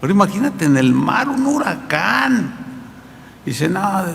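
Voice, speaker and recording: Against noticeable background noise and audible room echo, a man speaks at a high pitch and a fairly slow pace. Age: 60s. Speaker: pastor. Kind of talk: sermon. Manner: conversational, with repetitions.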